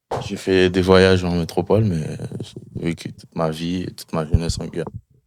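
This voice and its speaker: With monotone, flat intonation, a man talks in a very deep, low pitch. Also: moderate pace. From French Guiana, interior villages (Amerindian). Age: 20s. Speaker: logistics worker. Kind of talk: interview. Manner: hesitant, many fillers and repetitions.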